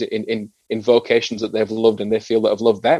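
Dry and close with no echo, a man talks at a medium pitch with ordinary pitch variation. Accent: northern English. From northern England. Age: 40s. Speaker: former rugby league player and psychotherapist. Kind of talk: interview. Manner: halting, with frequent repetitions.

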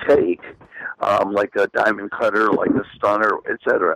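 At a moderate pace, the speaker uses an American accent, with a dry, close sound and no echo. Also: man. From Long Island, New York. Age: 40s. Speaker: pro wrestler. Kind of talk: call-in radio interview.

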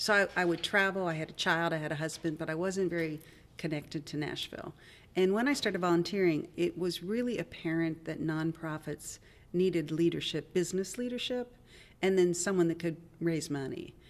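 An ordinary speaking voice with an American accent, moving at a fairly quick pace with ordinary pitch variation. The recording is very clean, with a silent background. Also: woman, fairly low pitch for a woman. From US, West Virginia (Wheeling). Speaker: nonprofit leader and tech startup CEO. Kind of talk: interview conversation.

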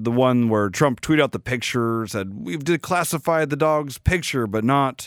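In a very clean recording with a silent background and a dry, close sound free of echo, a man with an ordinary speaking voice talks at a moderate pace and medium pitch with lively intonation. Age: 40s. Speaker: podcast host. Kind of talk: casual commentary.

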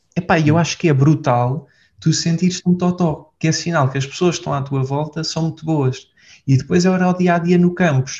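A man speaks in a dark, mellow tone. His pitch varies an ordinary amount. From Portugal. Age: 20s. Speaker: entrepreneur. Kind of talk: casual interview. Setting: office.

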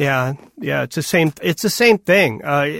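Relaxed in tone, a man speaks at a fairly slow pace with very wide pitch swings on a very clean recording with a silent background. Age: 70s. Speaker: blues musician. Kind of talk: casual interview. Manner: relaxed, hesitant, laughs often.

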